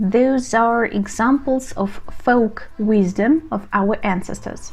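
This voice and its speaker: A woman speaks in a Russian accent, her pitch fairly high. She goes at a very slow pace with ordinary pitch variation. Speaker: language teacher. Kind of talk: tutorial.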